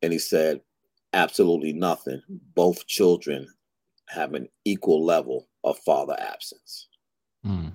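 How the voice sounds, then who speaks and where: A man with a New York accent talks at a fairly slow pace, leaving long, frequent pauses. The sound is dry and close, with no echo. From Brooklyn, New York. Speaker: fatherhood advocate and author. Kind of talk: interview conversation.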